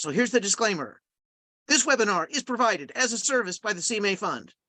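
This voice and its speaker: A man speaks in a raised, projected voice at a fairly quick pace, his tone bright and sharp. The sound is dry and close with no echo, over a quiet background. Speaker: grant writing trainer. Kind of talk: webinar training presentation. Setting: live webinar. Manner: fast.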